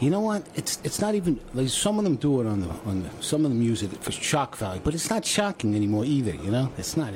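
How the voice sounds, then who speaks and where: Over noticeable background noise, a man talks fairly quickly at a medium pitch with very wide pitch swings. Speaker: radio show guest.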